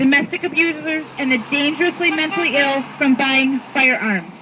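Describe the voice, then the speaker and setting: A woman's raised, projected voice with an American accent, high in pitch, with ordinary pitch variation and a moderate pace, over noticeable background noise. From Michigan. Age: 30s. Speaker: gun violence survivor and advocate. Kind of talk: rally speech. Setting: outdoors.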